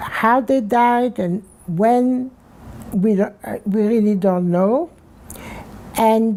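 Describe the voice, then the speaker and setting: Over noticeable background noise, a woman speaks at a very slow pace. Her fairly high voice has lively intonation. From Belgium. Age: 90s. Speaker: Holocaust survivor. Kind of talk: oral history interview. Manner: halting, many repetitions.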